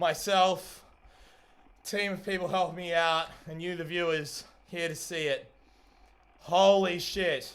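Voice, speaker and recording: This man is loud and high-pitched. He talks at a fairly slow pace, with long, frequent pauses. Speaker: streamer and hobby robot builder. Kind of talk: live stream commentary. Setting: live stream. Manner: animated.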